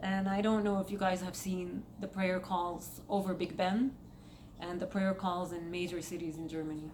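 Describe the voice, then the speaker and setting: A woman speaks with an Egyptian accent at a moderate pace. Her intonation is fairly even, with noticeable background noise. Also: medium pitch for a woman. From Saudi Arabia. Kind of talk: casual commentary vlog.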